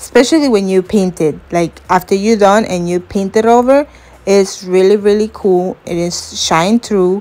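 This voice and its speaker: Her pitch sits at a medium level with ordinary variation as a woman talks at a fairly slow pace. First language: not English. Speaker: crafts YouTuber. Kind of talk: tutorial. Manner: casual, hesitant with fillers.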